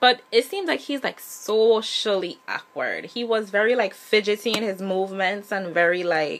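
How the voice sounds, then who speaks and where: Over noticeable background noise, a woman talks at medium pitch and a moderate pace, with ordinary pitch variation and hardly any pauses. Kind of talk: casual TV episode review to camera. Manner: conversational, chatty.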